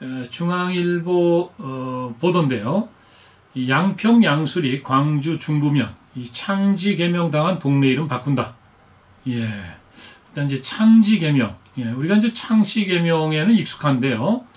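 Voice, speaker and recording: Lively intonation from a man with a fairly high pitch, at a fairly slow pace, over noticeable background noise. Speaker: TV host and historian. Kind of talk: casual news commentary to camera. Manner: hesitant, many filler sounds.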